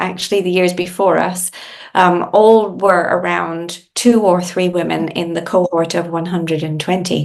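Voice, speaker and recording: Speaking at a moderate pace, a woman with an Irish accent has a medium-pitched voice. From Ireland. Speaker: industry association CEO, engineer. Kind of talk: podcast interview.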